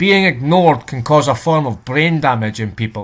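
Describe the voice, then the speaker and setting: In a very clean recording with a silent background, a man speaks in a Scottish accent at a fairly slow pace. His pitch is fairly high and his intonation lively. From Scotland. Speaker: reaction video creator. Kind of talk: casual reaction commentary.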